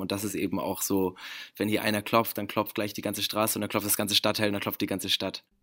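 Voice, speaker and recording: On a very clean recording with a silent background, a man speaks in a monotone, flat voice. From Germany, Bremen. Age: 20s. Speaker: actor, musician and model. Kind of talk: interview.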